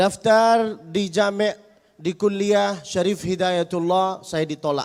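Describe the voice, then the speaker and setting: A man speaks with an Arabic accent. His tone is animated and his pitch is high. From Saudi Arabia, Mecca. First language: Arabic (speaking Indonesian). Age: 20s. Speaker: Islamic preacher. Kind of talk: religious lecture. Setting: mosque with audience.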